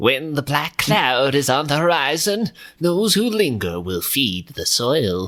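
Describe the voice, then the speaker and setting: Putting on a character voice, a man talks at a fairly slow pace, fairly high in pitch and swinging very widely up and down. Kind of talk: archaic, ominous. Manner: solemn, proverb-telling.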